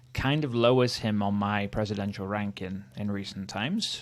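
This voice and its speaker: A man with a Welsh accent talks fairly slowly in a fairly low voice. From Wales. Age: 30s. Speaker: history youtuber. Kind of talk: casual commentary. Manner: casual, hesitant with fillers.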